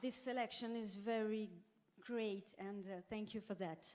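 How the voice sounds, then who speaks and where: A woman speaks at a fairly high pitch. Noticeable background noise and audible room echo fill the recording. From Corsica. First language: Corsican or French. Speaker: singer. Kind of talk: on-stage interview. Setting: stage with audience. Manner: halting.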